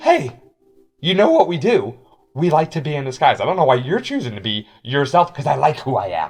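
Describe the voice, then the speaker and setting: This man uses a put-on character voice, raspy and fairly high in pitch. He moves at a fairly quick pace with lively intonation. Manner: biting.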